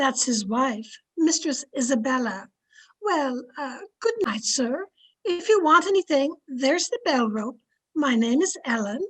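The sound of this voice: Lively intonation and a fairly bright tone mark this put-on character voice. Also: woman, high pitch for a woman, fairly slow pace.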